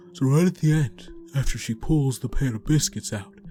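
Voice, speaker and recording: A man's put-on character voice at a moderate pace, with clear music in the background. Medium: read story. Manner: hesitant fillers as director, cold as owner.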